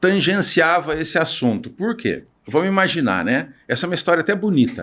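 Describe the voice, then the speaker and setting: A man's high, lively voice at a fairly quick pace, in a very clean recording with a silent background. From Brazil, Piracicaba (São Paulo state). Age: 60s. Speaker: naval engineer and entrepreneur. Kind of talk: podcast interview.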